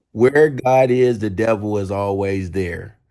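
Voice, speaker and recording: Over a silent background in a very clean recording, a man with a fairly low pitch uses a plain, everyday voice and fairly even intonation. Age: 40s. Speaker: live-stream guest, partner of the interviewee. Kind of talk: casual chat.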